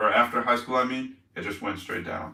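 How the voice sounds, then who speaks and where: Bright, sharp tone in a man's voice at medium pitch. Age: 20s. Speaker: live streamer, fitness youtuber. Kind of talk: casual live stream chat. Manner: casual, rambling filler-heavy.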